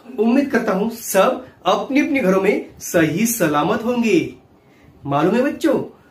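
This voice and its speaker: A man talks at a very slow pace, and room echo can be heard. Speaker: ventriloquist children's host. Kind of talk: children's show talk.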